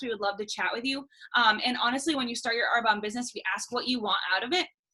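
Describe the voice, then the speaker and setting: Very fast speech over noticeable background noise. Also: woman. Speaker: sales consultant and nurse. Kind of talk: sales pitch.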